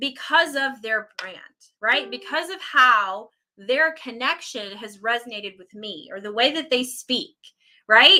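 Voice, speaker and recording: A woman raises and projects her high voice, swinging very widely in pitch. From Puerto Rican background. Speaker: online business coach. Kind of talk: live stream talk. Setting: live video stream. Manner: stumbles over words.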